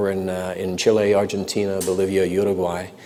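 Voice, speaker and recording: Over noticeable background noise, a man talks fairly quickly in a fairly low voice. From North London, then Canada as a child. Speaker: business executive. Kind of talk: interview. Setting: live stream before audience at business school.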